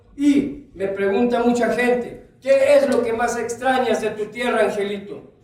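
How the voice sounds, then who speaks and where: An extremely high-pitched man speaks loudly at a moderate pace with fairly even intonation. Noticeable background noise is present. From Chiapas, Mexico (Lacandon jungle). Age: 60s. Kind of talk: conference talk. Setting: auditorium with audience.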